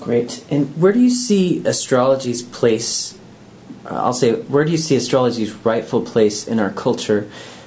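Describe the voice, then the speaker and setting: Ordinary pitch variation at a moderate pace, set against noticeable background noise. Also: man, medium pitch for a man. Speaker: interviewer. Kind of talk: interview chat. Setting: conference.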